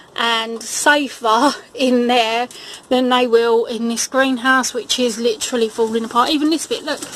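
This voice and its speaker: A high-pitched woman keeps a moderate pace while noticeable background noise runs underneath. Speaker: gardening vlogger. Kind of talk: casual video walkthrough.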